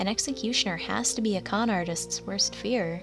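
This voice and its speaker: Music in the background, a moderate pace, and ordinary pitch variation. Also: woman. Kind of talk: horror story narration.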